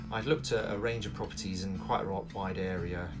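Over loud background music, a man speaks with ordinary pitch variation. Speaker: vlogger renovating a cottage. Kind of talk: casual vlog chat. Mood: friendly, smiling. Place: home room. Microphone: phone near.

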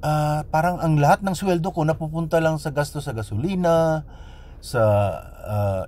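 A man speaks in a plain, everyday voice, fairly high pitched for a man, with lively intonation at a moderate pace. The sound is dry with no echo. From Philippines. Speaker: vlogger. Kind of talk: personal storytelling monologue. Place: car. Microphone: phone near.

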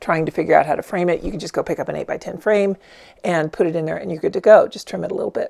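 A woman speaks over a quiet background. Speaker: art instructor. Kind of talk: product review tutorial.

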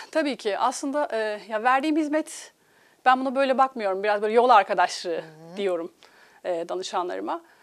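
Lively intonation marks this woman's speech. She talks at a fairly quick pace over a quiet background. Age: 40s. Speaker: life coach. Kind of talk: TV interview. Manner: hesitant, many filler sounds. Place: studio.

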